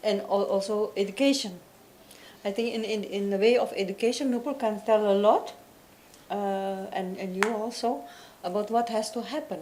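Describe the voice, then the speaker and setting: Long, frequent pauses from a woman with a non-native accent and a fairly high pitch, at a moderate pace with ordinary pitch variation, amid audible room echo. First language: Dutch. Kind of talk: panel discussion. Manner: halting, searching for words.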